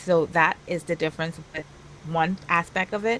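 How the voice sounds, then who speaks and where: The speaker is soft-spoken, with a Trinidadian accent. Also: woman. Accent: Caribbean (Trinidadian). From Trinidad and Tobago. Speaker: virtual world influencer. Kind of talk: casual interview chat.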